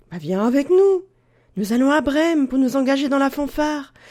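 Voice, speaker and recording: A put-on character voice, raised and projected, high in pitch, at a moderate pace. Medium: read story.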